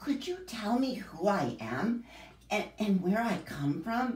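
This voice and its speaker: In a put-on character voice with a fairly high pitch, the speaker moves at a fairly slow pace. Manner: shy.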